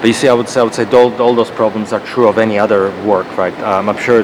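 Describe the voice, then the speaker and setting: A man speaks in a Croatian accent at a fairly low pitch, his intonation monotone and flat. Noticeable background noise runs behind him. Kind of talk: casual debate.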